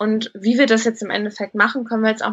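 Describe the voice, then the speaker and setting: Against noticeable background noise, a woman speaks very fast at a fairly high pitch with fairly even intonation. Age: 30s. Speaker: recruitment consultant, coaching client. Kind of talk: interview testimony.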